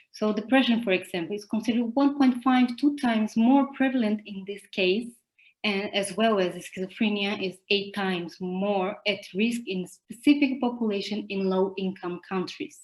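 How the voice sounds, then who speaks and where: A woman with a Portuguese accent speaks at a moderate pace and a medium pitch. Her voice is somewhat breathy, with ordinary pitch variation. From Brazil. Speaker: psychologist and conference presenter. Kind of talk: academic conference presentation.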